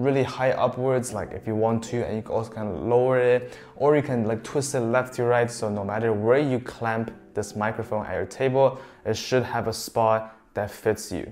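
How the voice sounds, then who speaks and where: A man at a moderate pace with fairly even intonation, music playing in the background. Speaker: tech reviewer. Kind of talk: product review. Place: home room.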